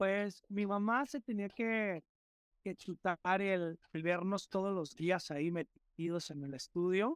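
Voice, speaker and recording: Dry and close with no echo, a man's high voice comes through at a very slow pace with ordinary pitch variation on a very clean recording with a silent background. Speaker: rapper. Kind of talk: interview. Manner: halting, repeats words.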